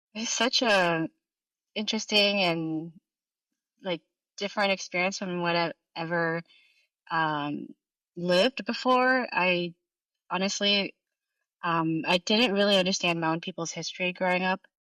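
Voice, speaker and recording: A woman speaks with a bright, sharp tone at a fairly slow pace. Her pauses are long and frequent. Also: medium pitch for a woman, ordinary pitch variation. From France. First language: French. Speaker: artist. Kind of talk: interview.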